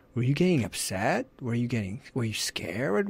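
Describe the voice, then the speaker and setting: A man's normal speaking voice at a medium pitch and moderate pace, on a very clean recording with a silent background. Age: 40s. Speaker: parenting coach. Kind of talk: interview. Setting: radio studio.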